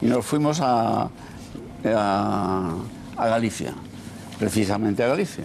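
A man talks with very wide pitch swings. Light background noise can be heard. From Spain. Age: old. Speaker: political commentator. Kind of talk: panel discussion. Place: studio.

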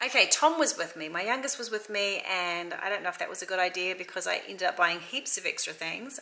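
Fairly quick speech from a woman over light background noise. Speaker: mum vlogger. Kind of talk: casual vlog chat. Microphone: phone near.

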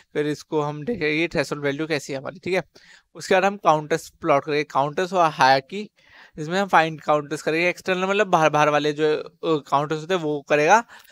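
An unremarkable speaking voice from a man, fairly high-pitched and moderately paced, dry with no echo. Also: fairly even intonation. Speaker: coding tutorial youtuber. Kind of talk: tutorial. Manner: casual. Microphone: headset.

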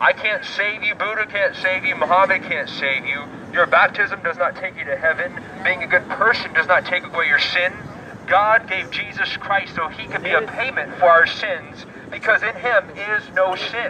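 A man talks at a moderate pace. Noticeable background noise runs behind him. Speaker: street preacher. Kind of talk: sermon. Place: street.

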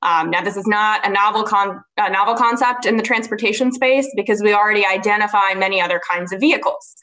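Against a quiet background, a woman talks at a fairly quick pace with fairly even intonation. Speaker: panelist. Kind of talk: panel discussion answer. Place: home room. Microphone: webcam.

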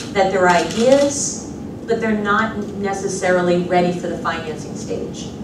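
Noticeable background noise and audible room echo surround a woman's voice. She talks at a moderate pace with ordinary pitch variation. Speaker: government agency director. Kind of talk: panel remarks. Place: hall.

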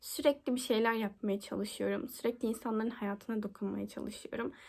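In an unremarkable speaking voice, a woman talks at a moderate pace. Her pitch is fairly high. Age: 20s. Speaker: university student. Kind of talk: application video monologue.

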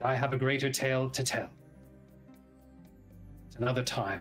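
Over clear background music, a man does a put-on character voice at a fairly quick pace. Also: medium pitch for a man. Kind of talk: formal Shakespearean address. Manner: regal, measured, a little tense.

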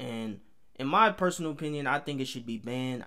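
With an American accent, a man talks at a moderate pace. His pitch varies in an ordinary way. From New York City, Harlem. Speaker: YouTube reaction video creator. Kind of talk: reaction video commentary. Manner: casual, conversational.

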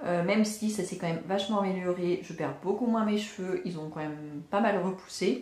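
Audible room echo surrounds a woman speaking at a moderate pace in a medium pitch with ordinary pitch variation. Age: 30s. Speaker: vlogger and mother. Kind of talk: casual vlog monologue. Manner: hesitant, many fillers.

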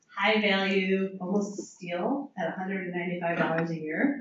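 Light background noise and audible room echo around a woman speaking. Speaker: association chapter leader. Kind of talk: event introduction. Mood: friendly, upbeat. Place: hall. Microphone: camera far.

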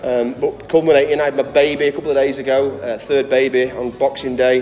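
Light background noise is audible. Over it, a man is talking. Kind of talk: interview answer. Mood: relaxed, reflective. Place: gym.

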